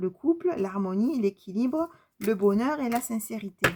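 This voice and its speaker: A woman talks with a fairly high pitch and very wide pitch swings. Her pace is fairly slow. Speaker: tarot card reader and medium. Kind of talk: spiritual card reading. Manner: halting.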